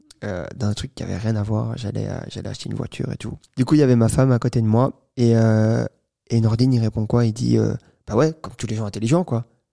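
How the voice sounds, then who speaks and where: Against a quiet background, a man talks very fast in a dark, mellow tone with fairly even intonation. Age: 20s. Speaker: entrepreneur; podcast guest. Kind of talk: interview. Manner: halting. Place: studio. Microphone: studio mic.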